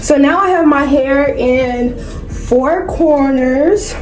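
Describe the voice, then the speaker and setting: A woman speaks with an American accent. Room echo is audible, along with noticeable background noise. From North Carolina. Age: 20s. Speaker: beauty and lifestyle vlogger. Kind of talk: casual chat with hair tutorial. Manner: casual, chatty.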